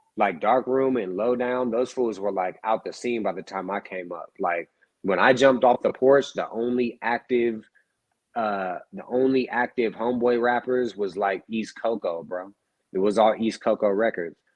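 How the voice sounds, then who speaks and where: Here is a man with a plain, everyday voice. He speaks at a moderate pace and medium pitch. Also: ordinary pitch variation. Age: 30s. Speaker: rapper. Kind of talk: casual chat.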